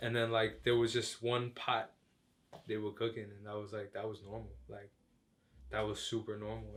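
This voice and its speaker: The delivery is fairly quick, with monotone, flat intonation. Loudness swings widely. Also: man. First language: Chinese. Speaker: rapper and music producer. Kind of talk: casual interview. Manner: casual, filler-heavy.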